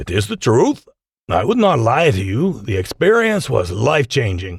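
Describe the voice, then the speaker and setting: Putting on a raspy character voice at medium pitch with very wide pitch swings, a man is captured dry and close with no echo on a very clean recording with a silent background. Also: moderate pace. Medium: read story. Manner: jovial.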